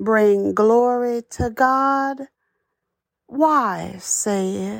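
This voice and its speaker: Ordinary pitch variation marks this very slow speech in a very clean recording with a silent background. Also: woman. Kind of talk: inspirational monologue. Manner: halting.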